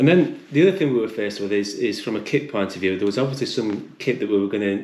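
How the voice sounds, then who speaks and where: Fairly quick speech from a man with a British accent and fairly low pitch. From UK. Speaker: hiker. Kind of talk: casual chat. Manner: halting, many repetitions.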